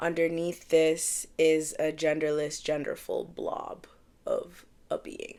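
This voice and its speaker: Heard on a very clean recording with a silent background, a woman with a Canadian accent speaks in a very deep, low pitch. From Canada, Edmonton, Alberta. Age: 30s. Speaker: singer-songwriter and poet vlogger. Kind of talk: casual vlog introduction. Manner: casual, hesitant with fillers.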